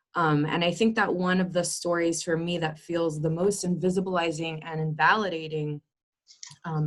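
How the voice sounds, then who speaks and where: A woman with a Spanish accent, fairly low in pitch, at a moderate pace with fairly even intonation. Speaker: community discussion participant. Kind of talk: group discussion, personal sharing.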